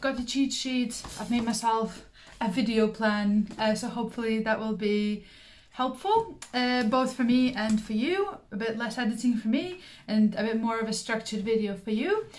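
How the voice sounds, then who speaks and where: Fairly even intonation marks a somewhat breathy voice. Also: woman, fairly high pitch for a woman, moderate pace. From Belarus. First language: Russian. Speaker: craft YouTuber. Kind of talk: casual vlog monologue. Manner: frequent filler words (um, uh).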